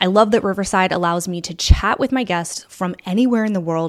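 In a plain, everyday voice, a woman talks at a fairly quick pace with medium pitch and ordinary pitch variation. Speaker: podcast host and business coach. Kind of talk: podcast interview, explaining a process.

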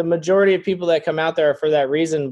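This man has an ordinary speaking voice pitched fairly high. His intonation stays fairly even. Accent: American. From Florida. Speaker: property owner and consultant. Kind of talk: interview.

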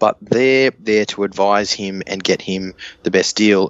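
A man talks in an Australian accent. His pitch is fairly low, with ordinary pitch variation. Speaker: rugby league podcast panelist. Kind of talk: casual chat.

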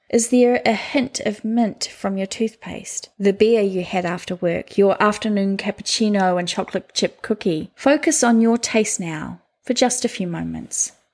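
With a plain, everyday voice, a woman speaks at medium pitch with ordinary pitch variation and hardly any pauses, in a very clean recording with a silent background. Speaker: meditation guide. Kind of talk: guided meditation. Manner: slow, calm, soothing, with long pauses between prompts.

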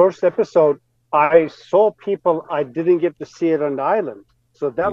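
In a dry, close recording with no echo, a man with an unremarkable speaking voice talks at a moderate pace and fairly high pitch, with ordinary pitch variation and big swings in loudness. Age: 40s. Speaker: survivalist and pilot. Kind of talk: casual chat.

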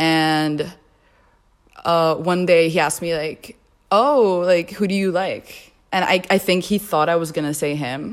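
Speaking at a fairly slow pace, a woman with a normal speaking voice and fairly low pitch shows ordinary pitch variation on a very clean recording with a silent background. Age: 20s. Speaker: podcast guest. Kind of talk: personal testimony.

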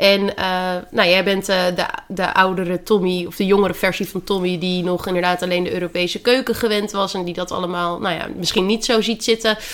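With noticeable background noise behind her, a woman speaks fairly quickly at a medium pitch in a monotone, flat delivery. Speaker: dietitian and podcast host. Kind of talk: casual chat. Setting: at home in quarantine.

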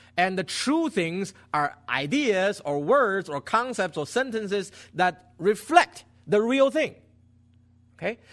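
A man's high pitch with very wide pitch swings, in a Chinese accent, at a very slow pace. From China. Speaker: pastor. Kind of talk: sermon. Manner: halting.

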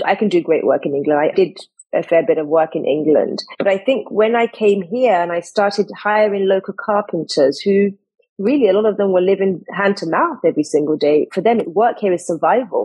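This woman has a medium pitch, ordinary pitch variation, a slightly mellow tone with a slightly husky edge, and a moderate pace.

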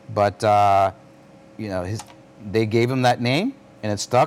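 Talking fairly quickly, the man has an American accent. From New York City. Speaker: risk manager and retired army officer. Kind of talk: casual interview. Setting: in a bar.

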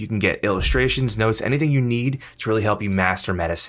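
Against a quiet background, a man with a plain, everyday voice speaks at a fairly low pitch with lively intonation. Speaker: podcast host. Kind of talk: casual chat. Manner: upbeat.

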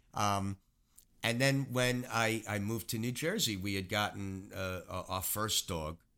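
With a New York accent, a man speaks at a fairly slow pace in a fairly low voice with ordinary pitch variation. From New York City, Queens. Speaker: retired animal cruelty officer and animal chaplain. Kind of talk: casual interview.

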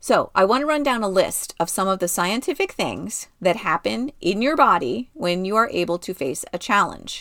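Her tone is bright and sharp, set at a medium pitch. She makes very wide pitch swings and hardly any pauses. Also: moderate pace. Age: 50s. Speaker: podcast host. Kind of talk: solo motivational talk.

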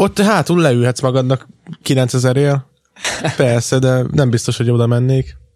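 Speaking in a plain, everyday voice, a man keeps a fairly slow pace, very even loudness, a medium pitch and ordinary pitch variation. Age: 20s. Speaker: podcast co-host. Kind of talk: casual chat.

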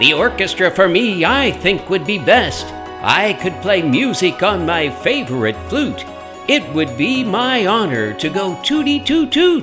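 Over clear background music, a man performs a put-on character voice with a high pitch. His pace is fairly slow. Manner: eager, then halting and sad.

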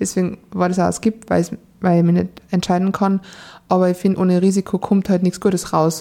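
Over a silent background on a very clean recording, a woman talks fairly quickly in a dark, mellow tone with monotone, flat intonation. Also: medium pitch for a woman. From Austria, Salzburg. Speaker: dating podcast guest, single. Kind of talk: casual interview chat. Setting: studio, in person.

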